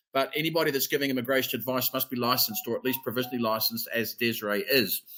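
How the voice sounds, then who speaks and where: Very fast and bright, sharp in tone, a man of medium pitch talks in a New Zealand accent with ordinary pitch variation. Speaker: immigration advisor. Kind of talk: webinar presentation. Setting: online webinar. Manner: casual, filler-heavy.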